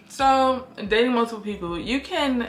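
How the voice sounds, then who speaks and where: A woman speaks at a fairly slow pace with music in the background. Room echo is audible. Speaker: beauty vlogger. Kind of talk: casual chat. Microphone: poor audio, mic was not on.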